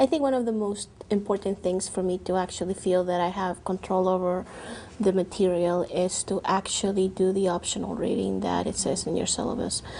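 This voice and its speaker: A woman's dark, mellow voice at medium pitch, with a non-native accent, fairly even intonation and a fairly quick pace. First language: not English. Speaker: university transfer student. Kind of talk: testimony.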